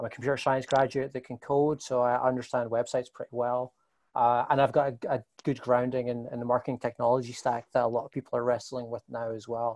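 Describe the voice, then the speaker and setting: A man speaks at a very fast pace in a medium pitch. His intonation is monotone and flat, with a dry, close sound and no echo. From Scotland, Glasgow. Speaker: marketing agency executive. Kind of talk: interview. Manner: halting, many repetitions.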